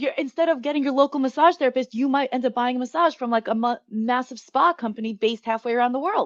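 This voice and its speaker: In an American accent, a woman with a high pitch talks at a very fast pace with hardly any pauses, her ordinary pitch variation caught in a dry, close sound with no echo. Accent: New York accent, slightly tempered. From New York. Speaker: marketing strategy consultant. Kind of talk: interview. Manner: fast-talking.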